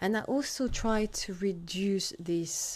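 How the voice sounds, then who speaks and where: The recording is very clean against a silent background. In it, a woman speaks in a French accent. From France. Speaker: food scientist consultant. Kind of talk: solo podcast monologue.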